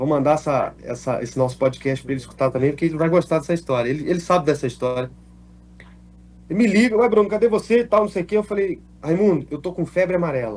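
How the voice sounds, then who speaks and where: Delivery is very fast, with lively intonation. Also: man, fairly high pitch for a man. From Minas Gerais, Brazil (Alfenas). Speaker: actor. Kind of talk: interview, telling life story. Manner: casual, animated storytelling.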